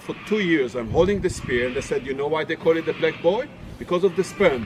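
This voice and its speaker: A man with a non-native accent talks at a moderate pace in a fairly high pitch with lively intonation. Noticeable background noise runs behind him. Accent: non-native English, mispronounces words. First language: not English. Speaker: tour guide. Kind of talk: casual storytelling; guided tour commentary.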